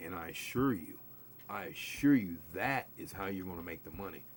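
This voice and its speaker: The voice shows vocal fry and very wide pitch swings. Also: man. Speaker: craps streamer. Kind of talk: live stream chat. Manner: casual, filler-heavy.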